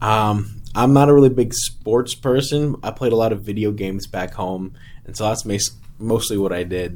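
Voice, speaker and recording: A man talks at a moderate pace with an American accent. His voice sits fairly low, with ordinary pitch variation. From Texas (Gulf Coast, near Houston). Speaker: missionary. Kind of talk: casual interview. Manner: halting, many fillers.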